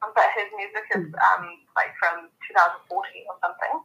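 A woman speaks with a New Zealand accent. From New Zealand, Samoan heritage. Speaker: podcast guest, friend of host. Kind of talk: casual chat.

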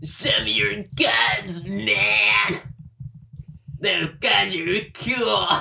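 In a put-on character voice at middle pitch, someone shouts at a very slow pace with long, frequent pauses. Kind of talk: casual, slangy. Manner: exaggerated dude voice.

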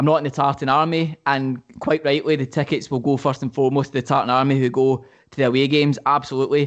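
A man with a Glaswegian accent, fairly high pitch, very fast pace, monotone, flat intonation and hardly any pauses. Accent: Glaswegian Scottish. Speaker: football podcast co-host. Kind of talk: casual chat. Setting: call.

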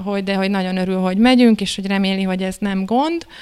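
An unremarkable speaking voice from a woman, medium in pitch, with fairly even intonation. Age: 30s. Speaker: couples therapist. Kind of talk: casual panel discussion.

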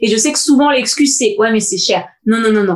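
This is a woman with an unremarkable speaking voice, pitched fairly high. Her intonation is lively. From Paris suburbs (Seine-Saint-Denis). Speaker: podcast co-host. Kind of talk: casual chat.

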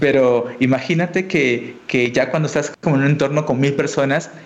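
Noticeable background noise sits behind a man with a fairly high pitch. He speaks at a moderate pace with fairly even intonation. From Peru, Tacna (south, near Chile border). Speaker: educational YouTuber and programming teacher. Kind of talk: casual interview chat.

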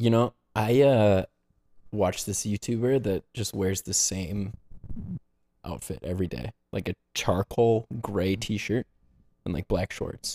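Speaking at a very slow pace, a man uses a fairly low pitch, a dark, mellow tone and ordinary pitch variation. Long pauses come often, and the sound is dry and close with no echo. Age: 20s. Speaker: podcast co-host. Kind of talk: casual chat.

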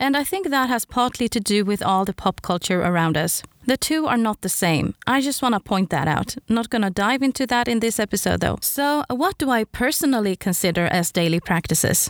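A woman speaks fairly quickly at a fairly high pitch with lively intonation, very even loudness and hardly any pauses. The recording is very clean, dry and close, with a silent background and no echo. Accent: Swedish. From Sweden. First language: Swedish. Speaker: podcast host. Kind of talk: solo podcast monologue.

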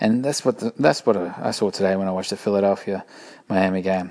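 A man with an Australian accent talks at a fairly quick pace in a fairly low pitch. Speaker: podcast host. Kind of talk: casual solo commentary. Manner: animated.

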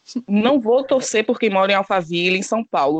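With lively intonation and a fairly quick pace, a woman speaks at medium pitch in a normal speaking voice. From Bahia, Brazil. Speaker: reality TV commentator. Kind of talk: casual chat.

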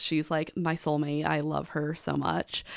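In a very clean recording with a silent background, a woman talks with a Midwestern US accent. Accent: US Midwest. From Nebraska. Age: 20s. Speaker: podcast co-host and event outreach coordinator. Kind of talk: casual interview.

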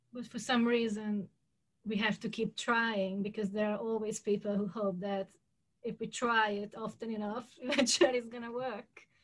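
Somewhat breathy and monotone with flat intonation, a woman speaks at a fairly high pitch with a Hungarian accent. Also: moderate pace. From Hungary. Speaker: podcast host. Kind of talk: interview.

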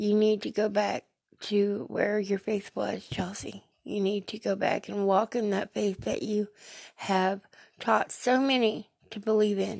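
A woman's flat, monotone delivery at a fairly slow pace, with a dry, close sound and no echo. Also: medium pitch for a woman. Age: 30s. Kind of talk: faith talk, personal testimony. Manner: emotional, preachy.

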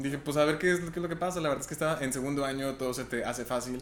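The speaker is a man with medium pitch. His intonation stays fairly even. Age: 20s. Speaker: medical researcher. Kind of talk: casual interview.

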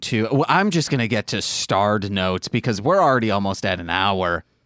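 Lively intonation marks this man's plain, everyday voice, delivered at a moderate pace with a dry, close sound with no echo. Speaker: podcast host. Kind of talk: casual banter podcast chat. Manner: joking, playful.

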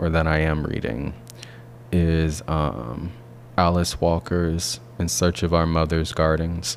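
Amid noticeable background noise, a man with an American accent talks at a very slow pace in a very deep, low voice. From US South, Alabama. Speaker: PhD student and artist. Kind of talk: interview. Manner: halting, many fillers and repetitions.

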